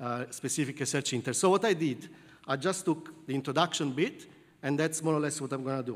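A man speaking very fast with an Italian accent, fairly high pitched for a man, with ordinary pitch variation. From southern Italy. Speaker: computer science professor. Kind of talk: lecture. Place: hall.

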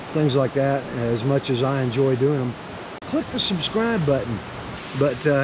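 A man's voice comes through with a dry sound with no echo and noticeable background noise. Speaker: motorcycle travel vlogger. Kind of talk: casual vlog chat. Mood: relaxed, friendly. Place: open country. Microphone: phone near.

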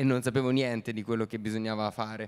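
A man at medium pitch and a fairly quick pace, with monotone, flat intonation and a quiet background. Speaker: actor. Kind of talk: festival Q&A talk. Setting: stage with audience. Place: stage. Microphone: handheld.

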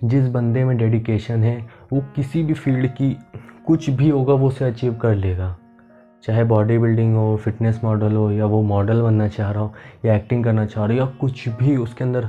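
A man talks at a moderate pace with fairly even intonation. Faint music plays in the background. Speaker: fitness vlogger. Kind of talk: motivational talk to camera. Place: home room. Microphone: camera far.

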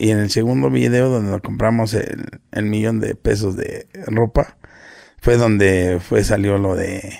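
There is a quiet background. The man's pitch varies in an ordinary way. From Mexico, Nezahualcóyotl (State of Mexico), born in Guerrero. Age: 40s. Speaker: internet personality, businessman. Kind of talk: casual interview chat. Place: home room. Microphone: studio mic.

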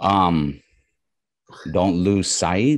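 Over a quiet background, a man with an American accent talks at a very slow pace in a very deep, low voice, with ordinary pitch variation and a dry sound with no echo. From New York. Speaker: comic artist and illustrator; comic artist. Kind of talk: interview. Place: home room. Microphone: video call.

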